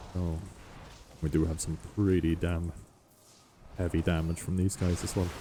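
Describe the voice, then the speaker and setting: In a very deep, low voice with a dark, mellow tone, a man speaks at a moderate pace, somewhat breathy and monotone with flat intonation, leaving long, frequent pauses. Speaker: gaming video creator. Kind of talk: gameplay commentary. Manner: casual with fillers.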